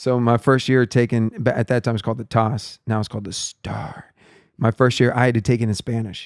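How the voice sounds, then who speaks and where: A medium-pitched man with a Texan accent at a fairly quick pace, with fairly even intonation and a dry, close sound with no echo on a very clean recording with a silent background. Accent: Texan American English. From Texas (Palestine and South Texas, early childhood in Guatemala and Mexico). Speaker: worship leader. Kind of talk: casual chat.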